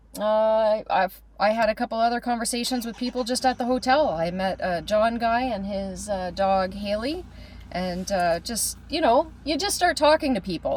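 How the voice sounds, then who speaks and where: Speaking with a Canadian accent, a woman uses lively intonation at a moderate pace over noticeable background noise. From Canada. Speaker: podcast co-host, travels for work. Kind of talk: casual chat. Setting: recorded on camera, on a trip in Australia.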